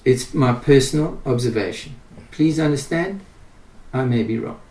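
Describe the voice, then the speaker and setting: The man speaks at a moderate pace with ordinary pitch variation. His tone is dark and mellow, somewhat breathy. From South Africa, Pretoria. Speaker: doctor. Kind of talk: interview.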